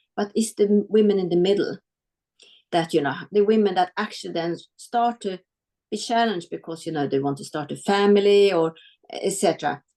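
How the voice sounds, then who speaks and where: A dark, mellow tone with ordinary pitch variation, in a Swedish accent, over a quiet background. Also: woman, medium pitch for a woman, fairly quick pace. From Sweden (adopted from South Korea). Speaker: business executive. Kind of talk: webinar interview.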